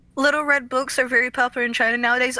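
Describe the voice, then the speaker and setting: This woman's voice is raised and projected, bright and sharp in tone, and high in pitch. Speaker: streamer. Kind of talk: casual chat.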